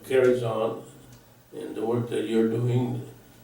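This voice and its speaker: Audible room echo surrounds a man with an American accent who talks at a fairly slow pace. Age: 80s+. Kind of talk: interview. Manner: halting.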